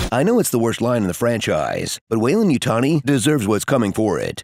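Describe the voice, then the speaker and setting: A man with an ordinary speaking voice talks at a fairly quick pace and a medium pitch, with ordinary pitch variation. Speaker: voice actor. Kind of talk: comedic movie trailer narration.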